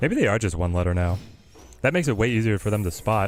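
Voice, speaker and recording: Music plays in the background as a man with a fairly low pitch talks at a very fast pace with ordinary pitch variation. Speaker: game streamer. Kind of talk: live game stream commentary.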